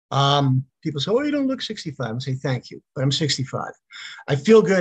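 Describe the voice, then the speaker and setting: Recorded with a dry, close sound and no echo, a man speaks in a fairly high, somewhat breathy voice. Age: 60s. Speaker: actor and retired school teacher. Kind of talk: casual interview. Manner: relaxed, many fillers.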